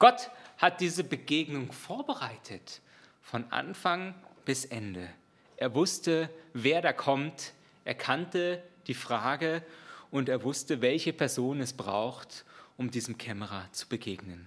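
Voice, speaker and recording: A man's fairly high voice with lively intonation, a very slow pace and long, frequent pauses, on a very clean recording with a silent background. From outside Germany. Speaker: preacher. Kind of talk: sermon.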